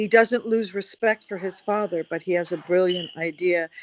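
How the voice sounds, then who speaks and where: Speaking at a moderate pace, a woman uses medium pitch and fairly even intonation in an unremarkable speaking voice. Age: 60s. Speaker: conversation show co-host. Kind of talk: casual conversation.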